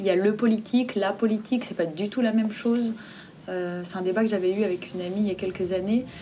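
A woman talks at a moderate pace with medium pitch and ordinary pitch variation. Noticeable background noise runs under her voice. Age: 20s. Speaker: theatre director and playwright. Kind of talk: interview.

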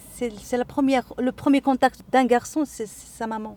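A woman's high-pitched voice with a dark, mellow tone, very slow delivery and a dry, close sound with no echo. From Morocco, Casablanca. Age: 40s. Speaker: women's association member, housewife. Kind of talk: interview. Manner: halting, frequent repetitions.

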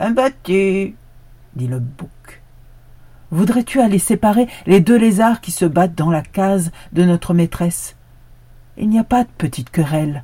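A somewhat breathy woman with a fairly low voice speaks very slowly, her pitch swinging very widely. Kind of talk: folktale storytelling, scripted narration of a fable with a moral. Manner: solemn, proverb-like delivery in the opening moral.

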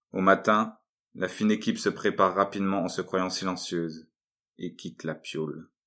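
Recorded very cleanly over a silent background, a man talks at a moderate pace in a very deep, low pitch, his tone bright and sharp and his intonation fairly even. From northern France, Lille. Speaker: artist and writer. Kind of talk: reading aloud.

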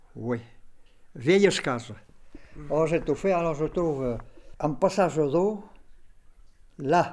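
A man's fairly high voice at a very slow pace, with long, frequent pauses and ordinary pitch variation. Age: 70s. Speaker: farmer and water diviner. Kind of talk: casual chat. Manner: halting.

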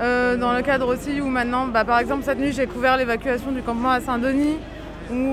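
A woman talks at a fairly quick pace in a high pitch with fairly even intonation. Audible room echo and noticeable background noise surround her. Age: 30s. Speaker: freelance photojournalist. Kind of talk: interview.

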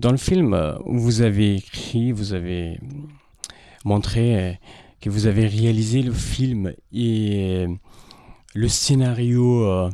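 A man with a dark, mellow tone and fairly low pitch speaks at a very slow pace, his pitch varying in an ordinary way. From Afghanistan. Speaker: former journalist. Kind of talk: radio interview.

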